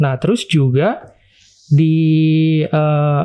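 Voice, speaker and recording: Fairly high in pitch, a man's voice has a dark, mellow tone. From East Jakarta, Indonesia. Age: 20s. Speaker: university student, interview guest. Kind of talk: personal confession interview. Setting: studio.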